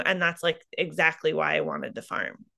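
The voice has a bright, sharp tone and a Midwestern US accent. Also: woman. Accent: US Midwest. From eastern Iowa. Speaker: farmer. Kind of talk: interview. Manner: halting, many fillers.

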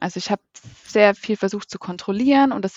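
Her medium-pitched voice moving at a fairly quick pace, a woman speaks with ordinary pitch variation. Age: 30s. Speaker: coach, endometriosis patient. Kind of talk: interview. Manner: hesitant, many fillers.

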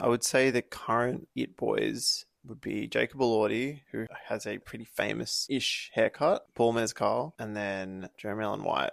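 An Australian accent at a moderate pace, very clean recording with a silent background, dry, close sound with no echo. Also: man. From Australia, Byron Bay. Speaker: podcast co-host. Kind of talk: casual chat.

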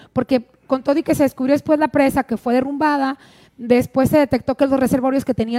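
The voice is dark and mellow with a monotone, flat intonation at a very fast pace. The sound is dry and close with no echo. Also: woman. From Sonora, Mexico; also Sinaloa and Phoenix. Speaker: journalist. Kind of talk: casual chat.

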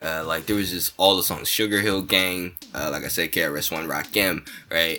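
A man with a very deep, low pitch speaks at a fairly slow pace. Noticeable background noise is present. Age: 20s. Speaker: stand-up comedian and podcast co-host. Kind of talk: casual chat.

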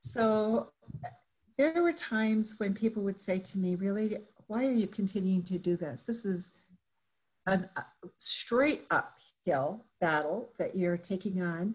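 A woman with a medium-pitched, somewhat breathy voice speaks with lively intonation and long, frequent pauses. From Japan. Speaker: business owner and leadership consultant. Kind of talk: interview storytelling.

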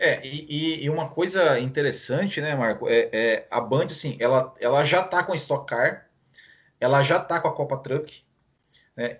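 Somewhat breathy and fairly high in pitch, a man with a Brazilian accent speaks fairly slowly with ordinary pitch variation. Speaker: podcast host. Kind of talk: casual chat. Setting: live stream.

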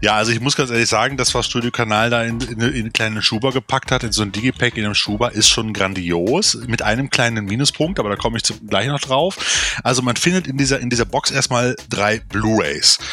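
Animated and bright, the man's tone is sharp, with ordinary pitch variation. He talks at a fairly quick pace. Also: medium pitch for a man. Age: 40s. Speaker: film podcast co-host. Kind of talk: casual chat.

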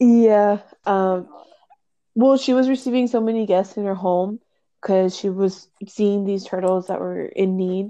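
A woman with an American accent speaks at a fairly slow pace in a dark, mellow tone. Her pitch is medium and her intonation fairly even. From South Texas. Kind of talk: casual chat.

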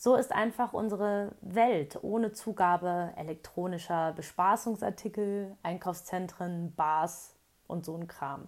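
A woman at a very slow pace, big swings in loudness and ordinary pitch variation, on a very clean recording with a silent background. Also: medium pitch for a woman. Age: 30s. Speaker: blogger. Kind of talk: reading aloud. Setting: in a camper van.

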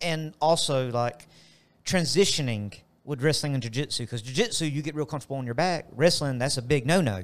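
A man speaks in an ordinary speaking voice at a fairly quick pace, with fairly high pitch and ordinary pitch variation. The recording is very clean with a silent background. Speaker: gym coach and co-host. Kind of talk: casual podcast chat.

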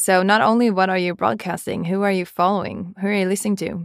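In a Swedish accent, a woman talks at a fairly quick pace with a medium pitch. The recording is very clean, with a silent background. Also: dry, close sound with no echo. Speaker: business executive. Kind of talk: casual chat. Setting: studio.

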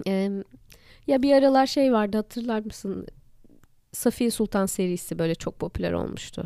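Her dark, mellow tone sits at a fairly high pitch for a woman, with ordinary pitch variation, a moderate pace and long, frequent pauses. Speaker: podcast co-host. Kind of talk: casual chat.

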